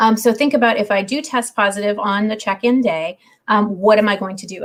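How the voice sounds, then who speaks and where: A woman's medium-pitched, somewhat breathy voice at a very fast pace. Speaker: university housing staff. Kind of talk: livestream Q&A. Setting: video livestream.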